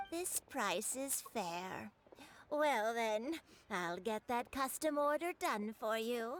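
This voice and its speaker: A put-on character voice moves at a very slow pace. Its pitch swings very widely. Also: woman, fairly high pitch for a woman. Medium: video game. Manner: gentle, motherly.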